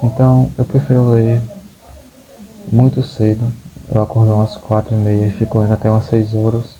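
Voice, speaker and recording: There is noticeable background noise as a man speaks at a moderate pace. His fairly low voice stays monotone and flat. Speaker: book vlogger. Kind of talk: casual vlog monologue. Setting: at home. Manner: halting, repeats words.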